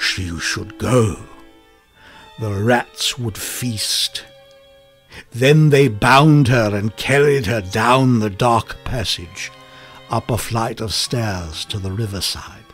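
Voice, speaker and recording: Music plays behind a man who speaks very slowly with long, frequent pauses and ordinary pitch variation, the sound dry with no echo. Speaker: voice actor. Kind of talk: short story reading. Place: studio.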